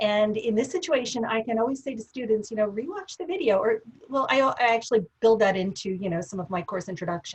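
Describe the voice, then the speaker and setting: A woman with a fairly high pitch talks very fast with lively intonation and hardly any pauses. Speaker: professor. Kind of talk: webinar discussion.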